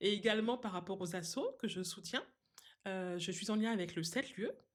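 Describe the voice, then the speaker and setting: With ordinary pitch variation and a medium pitch, a woman keeps her speech at a moderate pace. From Guadeloupe. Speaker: seamstress and craft designer. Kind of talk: podcast interview. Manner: hesitant, many fillers.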